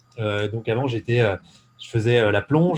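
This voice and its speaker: The man's pitch shows ordinary variation. His voice is somewhat breathy. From eastern France (Ain, Jura mountains). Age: 20s. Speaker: entrepreneur. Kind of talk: casual interview. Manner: hesitant, many fillers.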